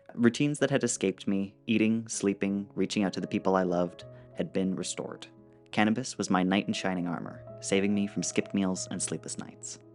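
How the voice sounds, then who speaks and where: Music plays in the background as a man speaks with a Canadian accent at a fairly quick pace. His voice sits fairly low, with ordinary pitch variation. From Alberta, Canada. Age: young. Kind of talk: personal digital story narration.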